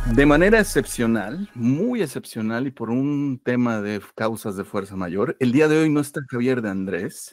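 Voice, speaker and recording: A man at a medium pitch with lively intonation, fairly slow pace and hardly any pauses, over music in the background. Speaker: podcast host. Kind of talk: podcast intro.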